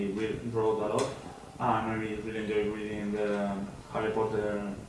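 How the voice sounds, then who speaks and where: Amid noticeable background noise and audible room echo, a man with a Spanish accent speaks at a medium pitch. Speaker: language student. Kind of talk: mock speaking exam answers. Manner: hesitant.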